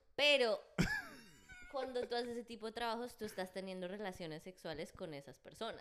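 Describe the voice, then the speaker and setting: Lively intonation and a fairly quick pace in a slight Bogotá accent, over noticeable background noise. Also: woman, fairly high pitch for a woman. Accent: slight Bogotá (rolo). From Colombia, Bogotá. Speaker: podcast guest, singer. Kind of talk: casual chat. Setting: studio.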